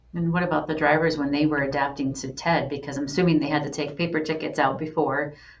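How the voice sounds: Against audible room echo, a woman with a low voice talks fast with fairly even intonation.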